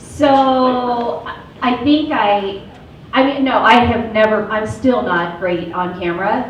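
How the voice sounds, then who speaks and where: Speaking very slowly at a fairly high pitch, a woman is heard amid noticeable background noise and audible room echo. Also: ordinary pitch variation. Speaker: mortgage loan officer. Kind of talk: panel discussion.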